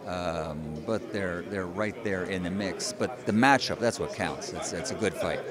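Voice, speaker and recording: An American man speaks at a fairly slow pace with hardly any pauses and ordinary pitch variation. Noticeable background noise is present. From United States. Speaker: ring announcer. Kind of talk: interview answer.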